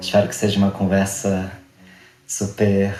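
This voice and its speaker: There is audible room echo as a man talks at a fairly low pitch. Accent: Rio de Janeiro. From Rio de Janeiro suburbs, Brazil. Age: 20s. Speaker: actor. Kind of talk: interview.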